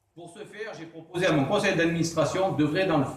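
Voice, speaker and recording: There is audible room echo and noticeable background noise. Through it, a man speaks at a high pitch. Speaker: association president. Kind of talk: formal speech. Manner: stumbling; formal.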